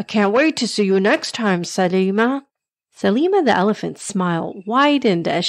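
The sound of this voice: The intonation is lively. It comes in an unforced reading voice with quiet surroundings.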